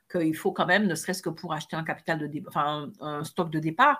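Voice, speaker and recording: Heard on a very clean recording with a silent background, a plain, everyday voice talks at a fairly quick pace. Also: woman. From French Caribbean islands. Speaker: podcast co-host, coach. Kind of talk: casual chat.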